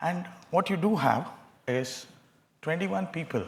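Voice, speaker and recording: A man talks at a moderate pace with very wide pitch swings and a somewhat breathy voice. Audible room echo is present. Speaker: professor of neuropsychiatry. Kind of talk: lecture. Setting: conference with audience.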